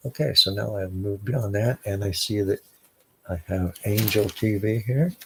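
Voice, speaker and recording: A man speaks quietly. His pace is fairly slow. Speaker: livestream host. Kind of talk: casual chat. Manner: trying to speak quietly; halting.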